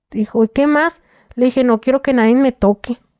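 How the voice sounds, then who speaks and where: A woman's high-pitched voice with a dark, mellow tone over a quiet background. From Mexico, Tijuana; Mexico. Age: 30s. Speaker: former prisoner telling her story. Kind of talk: interview testimony. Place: studio. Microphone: studio mic.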